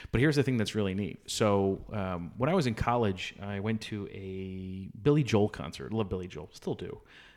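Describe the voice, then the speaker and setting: In a very clean recording with a silent background, a man speaks at a moderate pace in an unremarkable speaking voice. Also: fairly low pitch for a man, ordinary pitch variation. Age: 40s. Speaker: podcast co-host, father. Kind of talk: casual chat.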